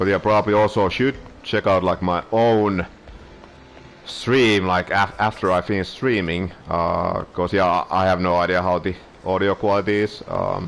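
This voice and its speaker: Over noticeable background noise, a man speaks with a very deep, low pitch, fairly even intonation and very even loudness. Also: moderate pace. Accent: non-native. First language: Finnish. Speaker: streamer. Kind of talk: casual live-stream chat. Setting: live stream. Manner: hesitant, many filler words and pauses.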